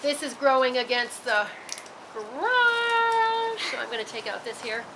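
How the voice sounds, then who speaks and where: With noticeable background noise and audible room echo, a woman talks at a fairly slow pace. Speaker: gardening video host. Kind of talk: tutorial. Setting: outdoors in garden, on a roof. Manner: halting, frequent stutters and repeats; loud.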